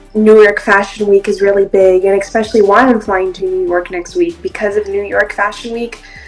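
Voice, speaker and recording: A woman at a medium pitch with fairly even intonation, a fairly quick pace and hardly any pauses, over background music. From Brazil. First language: Portuguese. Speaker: actress and model. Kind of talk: interview.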